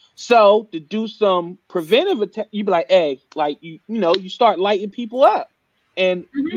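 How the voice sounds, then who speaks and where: A man with a high voice swings his pitch very widely, recorded with a dry, close sound and no echo. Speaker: podcast host. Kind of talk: casual chat. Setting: live stream show. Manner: animated, casual.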